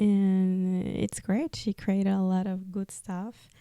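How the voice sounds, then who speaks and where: Speaking very slowly with a Spanish accent, a woman has a dark, mellow tone in a dry, close recording with no echo. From Peru. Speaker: podcast host, artist. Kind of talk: personal testimony podcast. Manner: halting; casual, many fillers.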